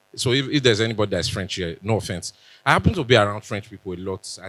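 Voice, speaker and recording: A man with a Nigerian accent speaks in a bright, sharp tone. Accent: Benin Nigerian English. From Benin.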